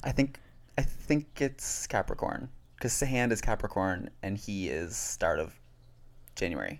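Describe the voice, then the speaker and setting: With an unremarkable speaking voice, a man at medium pitch talks at a fairly slow pace with lively intonation on a very clean recording with a silent background. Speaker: podcast co-host. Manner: chatty, playful.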